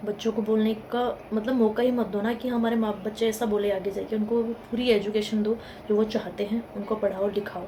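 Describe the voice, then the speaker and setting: With hardly any pauses, a woman talks at a moderate pace in a fairly high, monotone, flat voice over noticeable background noise. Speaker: motivational YouTuber. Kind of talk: motivational talk to camera. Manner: conversational.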